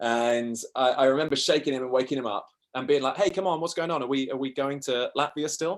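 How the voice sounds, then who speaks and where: At a very fast pace, a man with a southern English accent talks at a fairly high pitch with ordinary pitch variation. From South East England. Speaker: travel podcaster. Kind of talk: interview storytelling.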